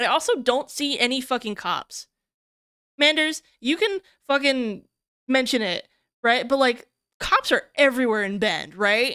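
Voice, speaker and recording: In a very clean recording with a silent background and a dry, close sound with no echo, a woman speaks in a raised, projected voice with a high pitch, a bright, sharp and animated tone, lively intonation and a fairly slow pace broken by long, frequent pauses. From Ohio, US Midwest. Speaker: streamer. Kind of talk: casual live stream chat. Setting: live stream while drawing.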